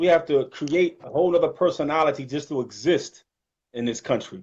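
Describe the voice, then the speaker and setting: Against a quiet background, a man with a Detroit accent speaks at a fairly high pitch with ordinary pitch variation. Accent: northern US, Detroit. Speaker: Islamic channel host. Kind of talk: casual chat.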